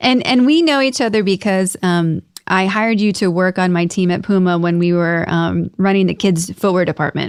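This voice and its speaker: A woman with an American accent talks in a plain, everyday voice at a medium pitch and moderate pace, with ordinary pitch variation and very even loudness. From United States. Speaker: podcast host. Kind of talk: podcast interview.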